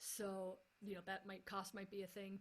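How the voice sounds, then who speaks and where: A woman speaks in a medium-pitched, somewhat breathy voice. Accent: American. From US Midwest, northern Minnesota. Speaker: doctor and podcast host. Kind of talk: live Q&A. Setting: livestream. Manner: animated.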